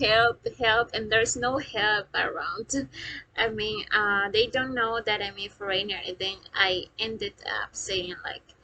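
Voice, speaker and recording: Speaking fairly slowly, a woman with a Spanish accent keeps a fairly even intonation at a fairly high pitch. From Peru, Lima area. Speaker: vlogger, customer service agent. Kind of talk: casual vlog talk to camera. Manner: halting, many fillers.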